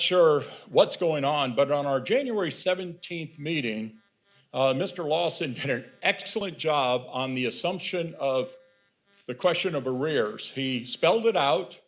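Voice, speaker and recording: Music plays in the background as a man with a fairly high pitch talks at a fairly slow pace, his pitch varying in an ordinary way. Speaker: board chair. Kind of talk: public meeting remarks. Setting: public meeting room with microphone. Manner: hesitant, repeats words.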